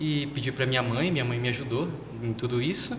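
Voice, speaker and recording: Noticeable background noise and audible room echo fill this recording of a man. His pitch varies in an ordinary way. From southern Brazil (Paraná). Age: 20s. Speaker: seminarian. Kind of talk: interview.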